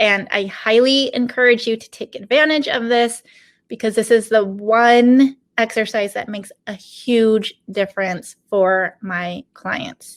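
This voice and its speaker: A woman speaks in an ordinary speaking voice at a fairly slow pace. Her loudness swings a lot. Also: fairly high pitch for a woman. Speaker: business coach. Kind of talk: online workshop. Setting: online video session from home.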